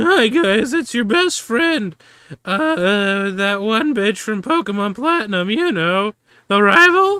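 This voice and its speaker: A put-on character voice, female-sounding and fairly high in pitch, at a fairly slow pace. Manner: brash, mocking, sarcastic.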